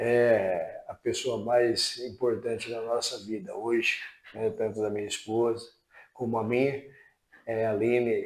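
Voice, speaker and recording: Long, frequent pauses in a man's fairly slow speech. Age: 60s. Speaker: retiring utility company employee. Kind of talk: interview.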